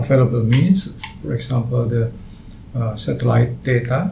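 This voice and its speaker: With an Indonesian accent, a man talks at a medium pitch with ordinary variation, amid audible room echo and noticeable background noise. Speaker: astronomer. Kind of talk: interview. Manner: halting.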